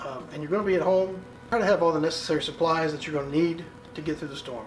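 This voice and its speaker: A man with a high-pitched voice talks at a very fast pace with ordinary pitch variation, and the room echo is audible. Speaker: survival preparedness youtuber. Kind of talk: informal tutorial talk. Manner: many fillers like um and uh.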